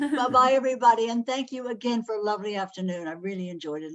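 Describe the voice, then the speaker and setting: At a very fast pace with hardly any pauses, a woman talks with lively intonation and big swings in loudness. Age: 80s+. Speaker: folk gathering participant. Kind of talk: casual farewell. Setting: video call.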